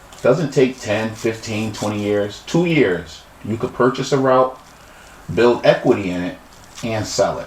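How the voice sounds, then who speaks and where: Heard over noticeable background noise, a man at medium pitch talks at a fairly slow pace with ordinary pitch variation. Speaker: podcast host. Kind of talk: interview podcast. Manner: halting.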